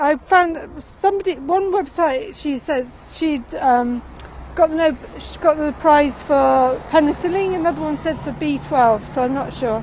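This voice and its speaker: Over noticeable background noise, a woman speaks fairly slowly in a high voice with ordinary pitch variation. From England. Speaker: livestream tour guide. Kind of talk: live stream walking tour chat. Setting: outdoors, city street. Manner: halting, many fillers.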